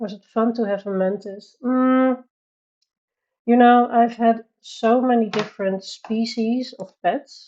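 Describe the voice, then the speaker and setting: In a Dutch accent, a woman speaks at a very slow pace. Her pitch is fairly high and her tone is dark and mellow. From Netherlands. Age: 30s. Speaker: livestreamer, colorist. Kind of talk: casual chat. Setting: live stream. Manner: halting.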